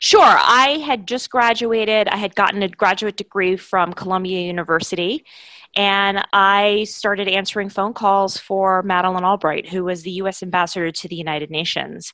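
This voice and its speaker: On a very clean recording with a silent background, a woman with an American accent speaks at a medium pitch in a bright, sharp tone. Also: ordinary pitch variation, moderate pace. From New York, Brooklyn. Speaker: foreign policy organization CEO. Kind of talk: interview.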